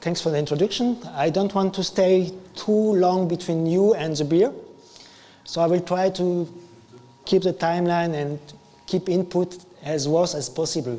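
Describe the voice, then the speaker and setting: A man with a French accent talks at a high pitch and a moderate pace, leaving long, frequent pauses. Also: ordinary pitch variation. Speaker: IT engineer / conference speaker. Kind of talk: tech meetup talk. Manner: improvised, halting.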